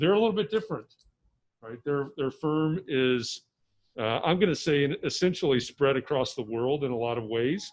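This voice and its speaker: A man with an unremarkable speaking voice talks at a fairly high pitch and a moderate pace, using lively intonation. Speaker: architecture course instructor, host. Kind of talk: introducing a guest speaker to a class.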